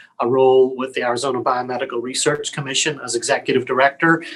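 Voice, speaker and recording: In a Northern Irish accent, a man talks at a very fast pace. His pitch is medium and his intonation fairly even. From Northern Ireland, Belfast. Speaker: public health lab director. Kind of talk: interview. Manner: hesitant, many fillers.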